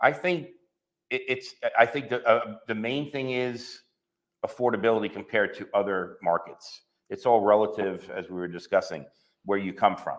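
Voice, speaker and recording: This man talks at medium pitch with a New York accent. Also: ordinary pitch variation, moderate pace. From New York, Long Island. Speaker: real estate agent. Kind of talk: interview. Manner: hesitant, many fillers and repeats.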